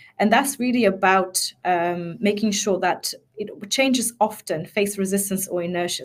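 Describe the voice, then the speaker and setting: Her voice is at a medium pitch with ordinary pitch variation, from a woman speaking. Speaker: change management expert and mindset coach. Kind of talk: webinar presentation. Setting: online webinar. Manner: fast.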